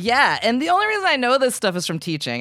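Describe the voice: The fast delivery has a fairly bright tone on a very clean recording with a silent background. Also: woman.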